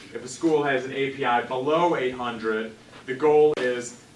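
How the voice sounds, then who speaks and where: Noticeable background noise and audible room echo surround a man's speech. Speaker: education policy researcher. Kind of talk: lecture. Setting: seminar room with audience. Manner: loud.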